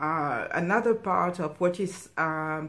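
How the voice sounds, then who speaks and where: This woman has a French accent and a fairly low pitch. Room echo is audible. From France, Cameroonian parents. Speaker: stitching vlogger. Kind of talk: casual personal talk. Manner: halting, many fillers.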